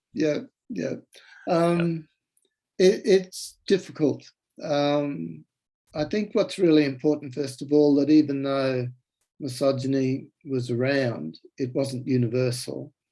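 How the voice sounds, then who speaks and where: With an Australian accent and a dark, mellow tone, a man at a fairly high pitch speaks at a very slow pace with long, frequent pauses and ordinary pitch variation. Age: 70s. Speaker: author. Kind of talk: interview. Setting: video call. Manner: halting.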